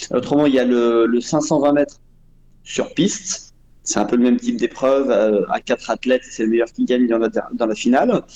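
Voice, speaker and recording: A man's voice at a moderate pace, with very even loudness throughout. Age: 40s. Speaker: roller speed skating champion and coach. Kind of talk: interview.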